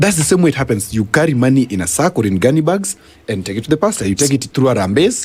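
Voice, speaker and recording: A man with a medium pitch talks at a very fast pace, somewhat breathy. His pitch swings very widely. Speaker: governance and policy expert. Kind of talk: radio interview. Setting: radio studio.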